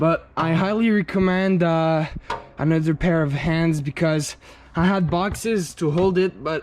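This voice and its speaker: Someone speaks with a French accent at a fairly slow pace. Noticeable background noise is present. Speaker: car hobbyist youtuber. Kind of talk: casual DIY vlog narration. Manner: casual, halting with fillers.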